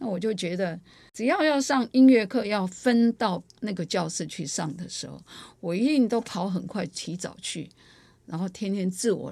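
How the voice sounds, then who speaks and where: A woman's dark, mellow voice with vocal fry and lively intonation. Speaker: choir artistic director and music teacher. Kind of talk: interview storytelling. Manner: talkative, long-winded.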